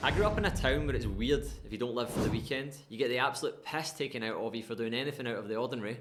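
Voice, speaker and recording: In a Scottish accent, the speech runs at a very fast pace, with noticeable background noise and audible room echo. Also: man, medium pitch for a man, ordinary pitch variation. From Scotland, West Coast (Irvine, North Ayrshire). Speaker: life coach, former RAF serviceman. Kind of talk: personal storytelling monologue. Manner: casual, conversational.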